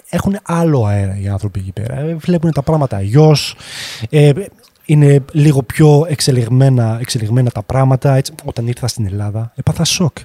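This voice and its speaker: Here a man has an unremarkable speaking voice, medium in pitch, with lively intonation at a moderate pace. The sound is dry and close, without echo. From France (Grenoble) until 12, then Thessaloniki. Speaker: 3D artist. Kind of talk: casual chat.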